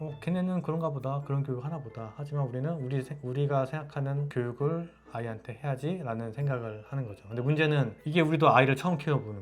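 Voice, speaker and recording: Talking very fast with hardly any pauses, a man with a fairly high voice shows ordinary pitch variation and big swings in loudness. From South Korea. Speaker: YouTuber, husband in international couple. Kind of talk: casual chat.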